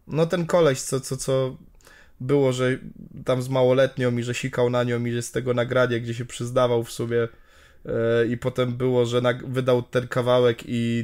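This man talks at a moderate pace and medium pitch, his intonation monotone and flat. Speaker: podcast co-host. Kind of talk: casual chat.

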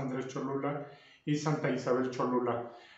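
Audible room echo surrounds a man who speaks at a fairly slow pace with a fairly high pitch. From Mexico, Puebla (Cholula). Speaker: carpenter and woodworking youtuber. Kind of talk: interview answers. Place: home room. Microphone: camera far.

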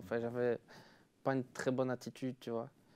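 A man with a Liège accent, a dark, mellow tone, medium pitch, and a fairly quick pace. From Belgium, Liège; Belgium. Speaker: DJ; guest. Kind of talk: casual chat. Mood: relaxed, smiling storytelling. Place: studio. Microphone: lapel.

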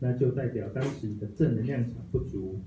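A man's somewhat breathy voice with a dark, mellow tone, ordinary pitch variation and a moderate pace, amid audible room echo and light background noise. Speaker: study group member. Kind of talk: reading aloud. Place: meeting room.

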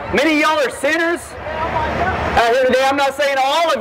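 A man speaks at a moderate pace against noticeable background noise. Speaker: street preacher. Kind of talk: open-air street preaching, loud and persuasive. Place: street.

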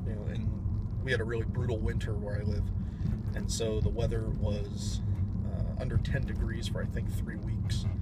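Loud background noise runs under a man's voice. He leaves long, frequent pauses. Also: moderate pace. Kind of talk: casual vlog chat. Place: car. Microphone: phone near.

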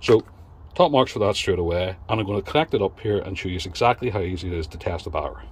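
There is no echo, just a dry sound, as a man talks at a very fast pace. His voice is somewhat breathy and fairly low, with ordinary pitch variation. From UK. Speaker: car repair YouTuber; car repair channel host. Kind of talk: product review. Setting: in a shed. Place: garage. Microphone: phone near.

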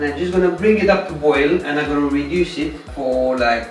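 A man at a fairly quick pace, with audible room echo and faint music in the background. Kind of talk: cooking tutorial. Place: kitchen.

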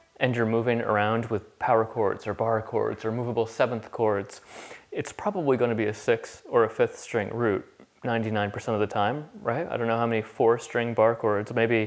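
A man delivers his words with monotone, flat intonation at a moderate pace. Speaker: guitar teacher. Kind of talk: tutorial. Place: kitchen.

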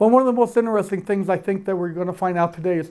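A high-pitched man with fairly even intonation in a quiet background. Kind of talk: public presentation remarks. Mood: warm, lightly humorous. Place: hall. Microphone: handheld.

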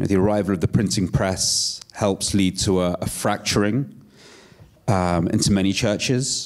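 A man speaks in a plain, everyday voice, fairly low in pitch with ordinary pitch variation, at a moderate pace with very even loudness against a quiet background. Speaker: writer and disinformation researcher; guest. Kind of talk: panel discussion. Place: stage. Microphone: handheld.

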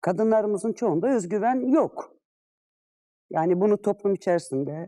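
Her intonation is lively and her pitch medium. This woman speaks at a fairly slow pace. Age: 50s. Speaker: retired civil servant. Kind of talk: interview. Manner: hesitant fillers.

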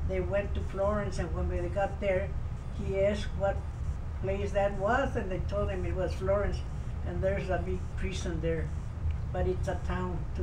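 Keeping his loudness very even, a man talks at a moderate pace with long, frequent pauses amid noticeable background noise. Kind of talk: interview answer. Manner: very elderly, frail storytelling voice. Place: home room. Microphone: camera far.

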